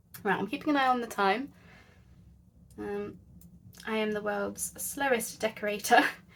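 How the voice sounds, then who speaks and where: Her pace moderate, a woman in a British accent leaves long, frequent pauses. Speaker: craft youtuber. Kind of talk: craft tutorial. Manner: soft-spoken; quiet. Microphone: quiet, volume boosted in editing.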